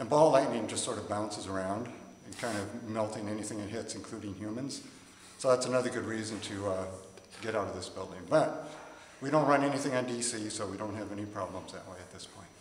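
Over light background noise and audible room echo, a man with a fairly low voice races along at a very fast pace, his loudness swinging widely and his pitch varying in an ordinary way. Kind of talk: interview answer. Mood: amused, anecdotal. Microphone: phone near.

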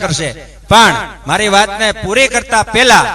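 Noticeable background noise runs under a man's raised, projected voice. His intonation stays fairly even. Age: young. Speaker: religious speaker, ascetic. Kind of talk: religious discourse. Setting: religious gathering with audience.

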